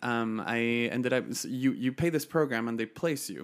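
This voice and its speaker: A man speaks at a fairly quick pace in a Chilean accent. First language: Spanish. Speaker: podcast guest, nonprofit founder. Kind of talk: casual interview conversation, telling life story.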